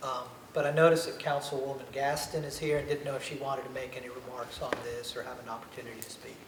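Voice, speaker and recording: A man talks very fast at a fairly high pitch, in a monotone, flat intonation, with big swings in loudness. Noticeable background noise and audible room echo fill the recording. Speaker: committee member. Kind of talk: public meeting discussion. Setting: city planning committee meeting. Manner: soft-spoken.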